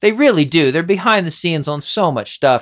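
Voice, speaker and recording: The speaker has an American accent, talking at a very fast pace with very wide pitch swings. The recording is very clean, with a silent background. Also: man. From US Northeast. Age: 40s. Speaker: podcast host and musician. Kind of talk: casual chat. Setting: studio.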